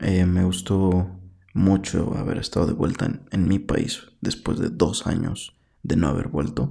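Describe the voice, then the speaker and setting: In a central Mexican accent, a man speaks fairly slowly with a very deep, low pitch and a dark, mellow tone. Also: lively intonation. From Mexico, Puebla. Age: 20s. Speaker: podcaster. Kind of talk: solo monologue. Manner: halting.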